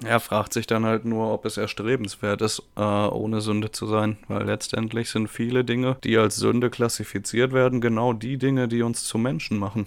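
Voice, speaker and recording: Over a very clean recording and silent background, a man speaks at a medium pitch and moderate pace in a monotone, flat intonation, with hardly any pauses. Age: 20s. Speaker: podcast guest. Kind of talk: casual chat.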